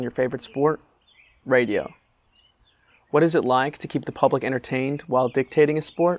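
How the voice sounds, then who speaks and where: A man speaks at a fairly quick pace with fairly even intonation, broken by long, frequent pauses. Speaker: interviewer, comedian journalist. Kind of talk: show intro narration. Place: street. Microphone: lapel.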